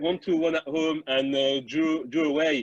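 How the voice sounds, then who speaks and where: A man's voice, fairly high in pitch, with a French accent. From France. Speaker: former footballer. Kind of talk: interview.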